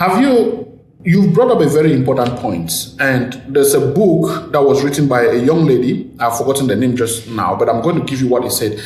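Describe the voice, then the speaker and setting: A man with an African accent and a fairly high pitch speaks at a fairly quick pace with lively intonation and hardly any pauses. Noticeable background noise and audible room echo are present. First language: an African language. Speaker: podcast host. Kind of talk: casual chat.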